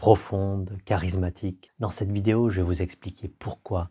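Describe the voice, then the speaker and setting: A man speaks at a fairly slow pace in a very deep, low voice, somewhat breathy with a dark, mellow tone and fairly even intonation, on a very clean recording with a silent background. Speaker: voice coach. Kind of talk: educational talk to camera.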